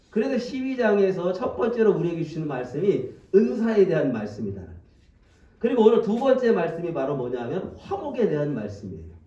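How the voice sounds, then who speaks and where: Fairly quick and high-pitched, a man's speech makes very wide pitch swings amid audible room echo. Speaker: pastor. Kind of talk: sermon. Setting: church. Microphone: speaking through a face mask, may sound muffled.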